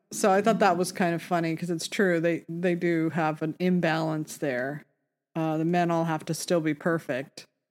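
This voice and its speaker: Music plays in the background as a woman speaks. Her pitch is fairly low and her intonation fairly even. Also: moderate pace. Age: 50s. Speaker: podcast co-host. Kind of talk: casual chat.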